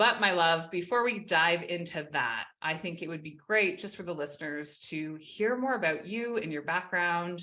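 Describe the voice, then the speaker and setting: On a very clean recording with a silent background, a woman talks with hardly any pauses in a fairly low pitch and a bright, sharp tone. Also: ordinary pitch variation, moderate pace. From Canada. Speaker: podcast host. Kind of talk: podcast interview. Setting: home office. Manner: animated.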